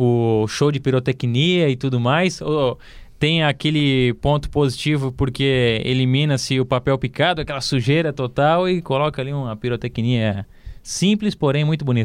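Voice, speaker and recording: A man's plain, everyday voice at medium pitch, moderate in pace, with ordinary pitch variation and a quiet background. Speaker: sports journalist, club beat reporter. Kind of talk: casual football podcast chat.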